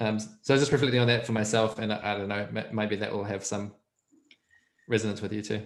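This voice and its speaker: With fairly even intonation, a man with a fairly low pitch talks at a very fast pace. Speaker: guest learning about coaching. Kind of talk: casual chat.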